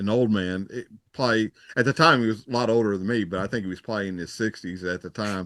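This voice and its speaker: Speaking at a very fast pace, a man uses a Texan accent. His pitch sits fairly low, with ordinary variation. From Texas. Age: 60s. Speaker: retired police officer. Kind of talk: casual chat.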